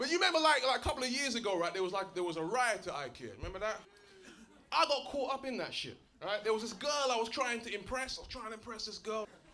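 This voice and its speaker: A man with an extremely high pitch talks at a very fast pace in a raised, projected voice, with noticeable background noise behind him. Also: lively intonation. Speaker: performance poet. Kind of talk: stand-up banter with audience. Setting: live comedy club. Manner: casual, conversational.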